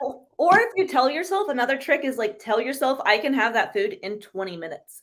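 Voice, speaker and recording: Her tone animated, a woman talks at a fairly quick pace in a high pitch with very wide pitch swings. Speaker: carnivore diet influencer. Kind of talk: podcast interview. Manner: fast.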